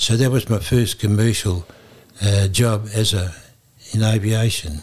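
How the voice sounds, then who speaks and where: Speaking with an Australian accent, this man has a medium pitch. His voice is somewhat breathy and his pace fairly slow. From Queensland, Australia. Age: 80s+. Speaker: retired airline pilot. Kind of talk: oral history interview. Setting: museum.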